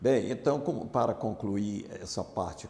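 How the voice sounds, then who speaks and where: At a fairly slow pace, a man with a fairly low pitch and a dark, mellow tone speaks with ordinary pitch variation. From Bahia, Brazil (interior, near Feira de Santana). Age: 70s. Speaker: former navy marine, amnesty activist. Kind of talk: oral history interview.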